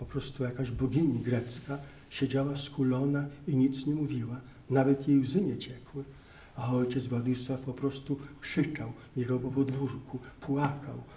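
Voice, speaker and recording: The man talks at a moderate pace. His intonation stays monotone and flat. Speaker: priest lecturer. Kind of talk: lecture. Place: hall. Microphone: handheld.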